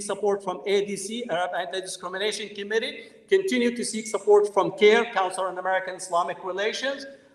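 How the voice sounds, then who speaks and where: A man talks fairly quickly in a high pitch, with noticeable background noise behind him. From Palestinian family. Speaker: professor. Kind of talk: lecture.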